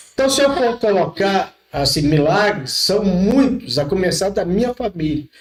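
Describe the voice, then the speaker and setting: Hardly pausing, a man with a high pitch talks at a fairly slow pace with lively intonation. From rural Brazil. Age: 60s. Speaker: pastor. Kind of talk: podcast interview, testimony.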